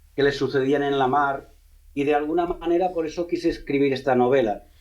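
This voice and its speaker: Speaking with a Catalan accent, a man uses a fairly high pitch and fairly even intonation. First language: Catalan (speaking Spanish). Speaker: novelist, former police officer. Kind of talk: radio interview. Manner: halting, frequent repetitions.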